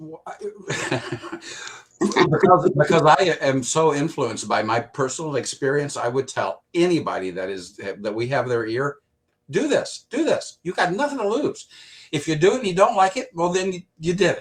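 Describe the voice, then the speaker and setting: A fairly high-pitched man talks at a moderate pace with vocal fry. His pitch swings very widely and his loudness rises and falls in big swings. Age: 60s. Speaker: product user giving testimony. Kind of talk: testimony.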